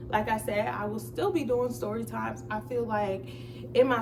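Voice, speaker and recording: A woman is speaking in a room with audible echo. Noticeable background noise is present too. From New Jersey. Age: 20s. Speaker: vlogger. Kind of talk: casual chat. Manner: stutters sometimes.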